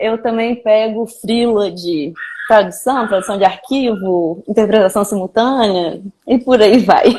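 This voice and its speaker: A woman's fairly high voice, a plain, everyday voice, with ordinary pitch variation and a fairly slow pace. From Brazil, Minas Gerais (Belo Horizonte). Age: 20s. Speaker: video editor. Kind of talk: casual chat.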